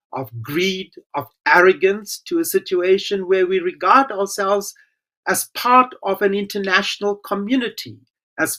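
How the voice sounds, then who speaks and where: A man speaks in a raised, projected voice with a high pitch. His tone is bright and sharp, and his pace is fairly slow. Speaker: former government minister. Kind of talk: conference speech.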